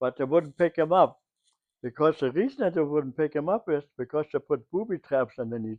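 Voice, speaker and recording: A man with a German accent speaks at a fairly high pitch. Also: ordinary pitch variation. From Germany. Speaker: WWII civilian eyewitness. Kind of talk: interview answer.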